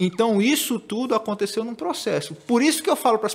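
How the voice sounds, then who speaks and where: A man talks with a northeastern Brazilian accent. His pace is fairly quick and his intonation lively. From Northeast Brazil, Maceió (Alagoas). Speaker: digital marketing specialist. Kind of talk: podcast conversation.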